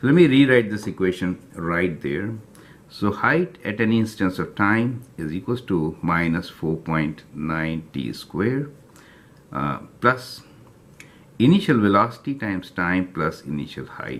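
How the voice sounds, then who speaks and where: Speaking at a fairly slow pace, a man with a fairly low voice makes very wide pitch swings. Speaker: math teacher. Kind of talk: tutorial.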